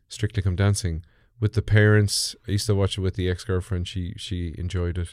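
An Irish Midlands accent in a monotone, flat delivery, on a very clean recording with a silent background. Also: man, very deep, low pitch for a man, fairly quick pace. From Ireland, Birr in Offaly. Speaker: comedian. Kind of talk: casual chat.

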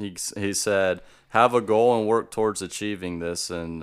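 In a very clean recording with a silent background, a man with an ordinary speaking voice talks at a fairly slow pace, with a fairly low pitch and fairly even intonation. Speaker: podcast host. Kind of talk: casual chat.

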